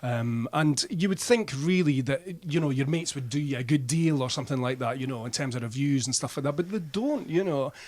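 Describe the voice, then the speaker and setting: Here a man with a Scottish accent talks at a fairly quick pace. His fairly high voice carries lively intonation. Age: 60s. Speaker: band frontman and music writer. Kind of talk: radio interview. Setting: radio studio. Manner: casual, chatty.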